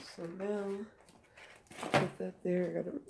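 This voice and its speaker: A woman talks at a very slow pace, nearly buried under loud background noise. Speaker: cooking vlogger. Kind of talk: cooking tutorial. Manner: casual, conversational. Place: kitchen. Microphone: phone near.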